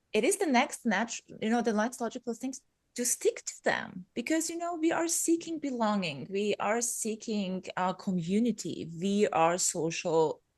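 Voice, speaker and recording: A woman with a non-native accent speaks at a moderate pace in a somewhat breathy voice with very wide pitch swings, over a quiet background. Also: fairly high pitch for a woman. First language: not English. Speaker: podcaster, business coach. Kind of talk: casual interview chat.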